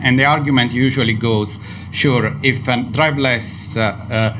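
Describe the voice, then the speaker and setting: A man with an Italian accent talks at a fairly slow pace with ordinary pitch variation, over noticeable background noise and audible room echo. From Italy. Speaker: neuroscience professor. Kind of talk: panel debate. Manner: hesitant, many fillers.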